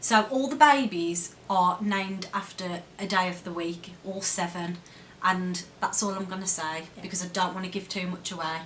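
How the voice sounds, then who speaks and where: Delivered at a moderate pace, the voice shows big swings in loudness and ordinary pitch variation over noticeable background noise. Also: woman, medium pitch for a woman. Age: 30s. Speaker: vlogger. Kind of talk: casual talk to camera.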